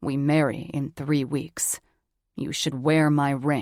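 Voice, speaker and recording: Putting on a growling character voice, a woman speaks at a very deep, low pitch in monotone, flat intonation at a fairly slow pace, on a very clean recording with a silent background. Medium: read story. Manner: controlled, terse.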